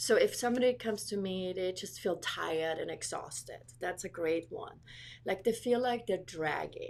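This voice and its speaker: Vocal fry at a moderate pace, with lively intonation. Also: woman, medium pitch for a woman. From Austria, Vienna. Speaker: iridologist and small business owner. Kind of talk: radio interview.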